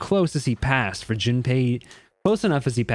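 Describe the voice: Lively intonation marks this plain reading aloud. Behind it, all is quiet.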